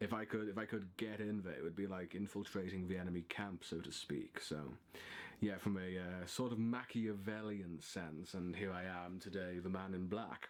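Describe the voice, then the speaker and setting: A man's very deep, low voice moves at a moderate pace with fairly even intonation. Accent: Liverpool. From northern England, Liverpool. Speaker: writer and video blogger. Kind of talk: casual monologue to camera. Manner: halting, many fillers.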